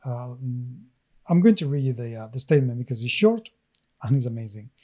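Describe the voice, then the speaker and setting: A man with a medium pitch and a dark, mellow, somewhat breathy tone speaks at a fairly quick pace with ordinary pitch variation. His loudness swings widely in a very clean recording with a silent background. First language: not English. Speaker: podcast co-host. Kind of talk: casual chat.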